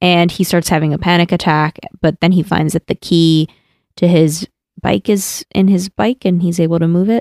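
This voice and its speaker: Her voice is a plain, everyday voice, fairly low, as the woman speaks at a moderate pace with fairly even intonation and very even loudness in a dry, close sound with no echo. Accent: American. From New Jersey. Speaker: podcast co-host. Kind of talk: casual chat.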